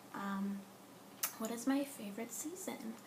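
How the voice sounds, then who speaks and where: A woman with an American accent speaks fairly slowly at a fairly high pitch. Noticeable background noise and audible room echo are present. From Southern California. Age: 20s. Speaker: vlogger. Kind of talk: casual vlog. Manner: hesitant, many filler ums.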